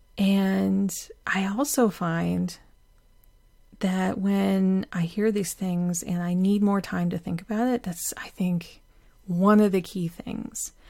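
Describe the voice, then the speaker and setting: A woman speaks very slowly at a medium pitch, her tone calm, dark and mellow, and her intonation fairly even. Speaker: podcast host. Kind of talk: solo podcast monologue, reflective. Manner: calm, reflective, slightly halting.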